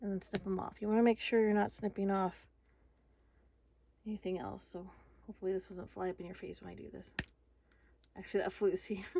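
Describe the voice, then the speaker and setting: Speaking very fast in a flat monotone at a medium pitch, a woman leaves long, frequent pauses, and her loudness swings a lot. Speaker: craft tutorial maker. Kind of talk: tutorial. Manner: casual.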